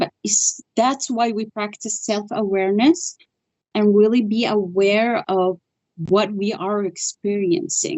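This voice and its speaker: A woman with a non-native accent speaks at a fairly slow pace, her fairly high pitch showing ordinary variation. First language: not English. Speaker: spiritual healer. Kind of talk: interview.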